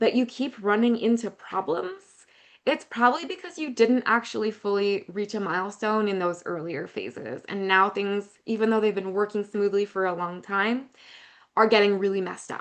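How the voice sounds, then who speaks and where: A woman with a normal speaking voice talks at a moderate pace and medium pitch, her pitch varying in an ordinary way. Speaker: youth program consultant. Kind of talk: webinar presentation.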